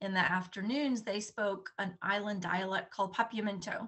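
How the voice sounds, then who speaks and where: A woman with a Southern US accent talks at a moderate pace and medium pitch with fairly even intonation. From Bonaire, Caribbean (American parents). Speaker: slow-living advocate. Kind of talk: interview, personal story. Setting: podcast interview.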